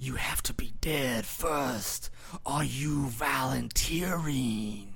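Delivered at a very slow pace over noticeable background noise, the put-on character voice sits at a low-to-middle pitch. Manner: menacing.

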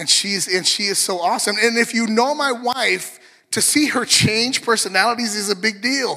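A man's extremely high, bright, sharp voice, raised and projected, with an animated tone. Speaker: pastor. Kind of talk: sermon.

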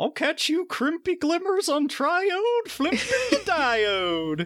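A put-on character voice, high in pitch and very slow. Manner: mock, theatrical.

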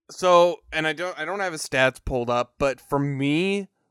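A man speaks in a normal speaking voice at a fairly slow pace with ordinary pitch variation, the sound dry and close with no echo. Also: very clean recording, silent background. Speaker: sports podcast co-host. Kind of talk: casual chat.

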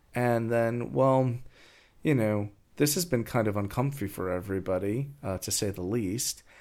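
In a very clean recording with a silent background, a man with an American accent uses a normal speaking voice at medium pitch, moderate pace and ordinary pitch variation. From New York, US. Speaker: podcast co-host. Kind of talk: casual chat.

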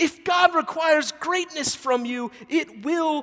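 A man speaks at a fairly slow pace with an American accent. His pitch varies in an ordinary way. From US South, Memphis, Tennessee. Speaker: preacher. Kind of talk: sermon.

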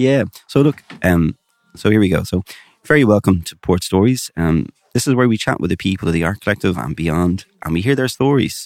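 With an Irish accent, the speaker uses lively intonation in a dry, close recording with no echo. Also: man, fairly low pitch for a man, fairly quick pace. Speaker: podcast host. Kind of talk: casual chat. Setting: community arts venue with background music.

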